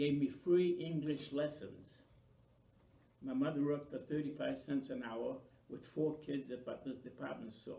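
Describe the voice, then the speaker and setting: In a room with audible echo, a man speaks in a somewhat breathy voice with a dark, mellow tone. His pitch is fairly high, and his intonation stays fairly even. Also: moderate pace. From Maine, US (Franco-American). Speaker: oral history interviewee. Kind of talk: oral history interview.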